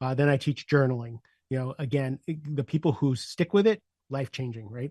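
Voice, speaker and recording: Fairly high-pitched and somewhat breathy, a man talks at a fairly quick pace in a dry, close recording with no echo and a quiet background. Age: 60s. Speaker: leadership coach. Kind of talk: podcast interview.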